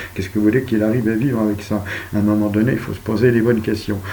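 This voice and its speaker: A man speaks in a calm tone, with audible room echo. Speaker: video blogger. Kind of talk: monologue. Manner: soft-spoken.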